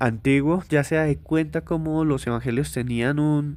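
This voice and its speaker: A man at a very slow pace with ordinary pitch variation, on a very clean recording with a silent background. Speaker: author presenting his book. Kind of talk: book presentation monologue. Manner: casual with frequent hesitations.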